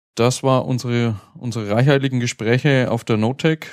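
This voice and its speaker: A man speaks fairly quickly with a slight Franconian accent. His pitch is medium and his intonation fairly even. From Franconia, Germany. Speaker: podcast host. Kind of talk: casual chat. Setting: live recording at a conference.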